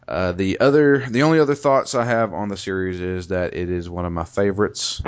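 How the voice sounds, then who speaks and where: A man with a Southern US accent, a very deep, low pitch and ordinary pitch variation. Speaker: podcast host. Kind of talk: casual chat. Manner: animated.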